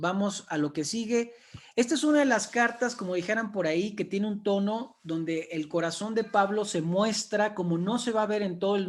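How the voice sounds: At a moderate pace, the pitch shows ordinary variation. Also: man.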